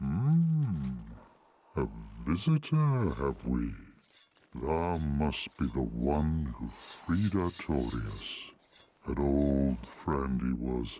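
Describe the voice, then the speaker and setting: Putting on a character voice, a man speaks very slowly with a very deep, low pitch. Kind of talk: archaic fantasy speech. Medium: video game. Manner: slow, measured, dignified.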